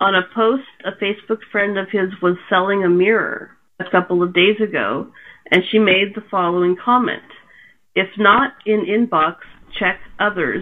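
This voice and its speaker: With a normal speaking voice, a woman speaks at a moderate pace and medium pitch, her intonation fairly even. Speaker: podcast host. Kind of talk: casual chat.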